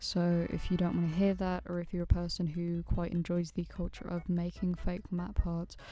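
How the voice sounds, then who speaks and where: At a moderate pace, a soft-spoken woman talks. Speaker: animator and YouTuber. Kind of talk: casual vlog commentary.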